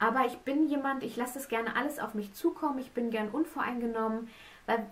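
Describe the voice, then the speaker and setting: A high-pitched female voice. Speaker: pregnant vlogger. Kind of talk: casual vlog chat. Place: home room.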